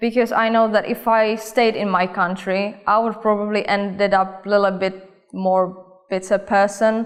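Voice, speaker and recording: A woman with a Czech accent, medium pitch, monotone, flat intonation, and a moderate pace. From Czech Republic, Olomouc. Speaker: cosmetics company worker. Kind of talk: interview answers.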